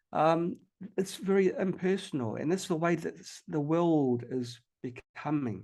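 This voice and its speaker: Against a quiet background, a man speaks in a New Zealand accent with ordinary pitch variation. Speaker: health technology researcher and inventor. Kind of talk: podcast interview. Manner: halting, many fillers and repetitions.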